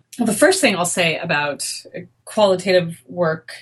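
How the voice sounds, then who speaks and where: This woman's voice is somewhat breathy, with a medium pitch and ordinary pitch variation. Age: 40s. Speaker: sociology professor. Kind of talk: interview.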